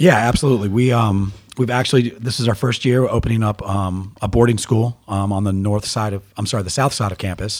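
A man speaks with an American accent in an unremarkable speaking voice, fairly low in pitch with ordinary pitch variation. His pace is fairly quick, with hardly any pauses. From US Mid-Atlantic, Baltimore area (Owings Mills). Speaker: youth soccer coach. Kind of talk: casual interview.

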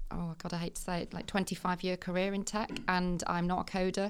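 Fairly low in pitch, a woman with a Mancunian accent speaks fairly quickly in a monotone, flat voice, recorded very cleanly against a silent background. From Manchester, northern England. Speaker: tech senior manager. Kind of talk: casual chat. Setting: studio.

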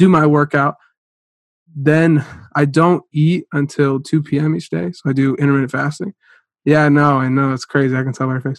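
Here a man with an American accent talks at a moderate pace and a fairly high pitch. His intonation stays fairly even, and the sound is dry and close with no echo. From US Midwest, northeast Ohio. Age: 20s. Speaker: startup CEO and university student. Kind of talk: interview conversation. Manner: halting, many fillers and repeated words.

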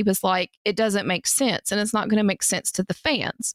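This woman talks at a fairly quick pace in a medium-pitched voice. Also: dry, close sound with no echo, very clean recording, silent background. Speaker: podcast co-host. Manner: anxious about speech.

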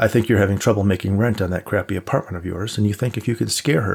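This is reading aloud in a natural voice. The delivery is read from a text.

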